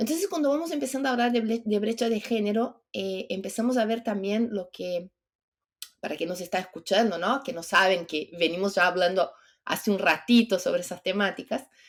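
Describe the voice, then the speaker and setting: Lively intonation colors the moderate pace of this woman's speech. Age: 50s. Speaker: entrepreneur and longevity advocate. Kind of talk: podcast interview.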